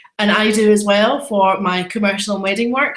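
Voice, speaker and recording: With a Scottish accent, the speaker talks at a moderate pace amid audible room echo. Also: woman. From Scotland, Edinburgh. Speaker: photographer and photography trainer. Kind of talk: webinar presentation. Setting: live online webinar. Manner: animated.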